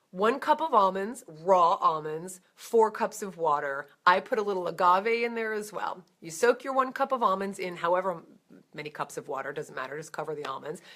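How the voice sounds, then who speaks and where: A woman's medium-pitched, bright, sharp voice with lively intonation and big swings in loudness. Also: moderate pace. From New Jersey. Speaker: vegan educator. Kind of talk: Q&A answering viewer questions. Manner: casual, conversational.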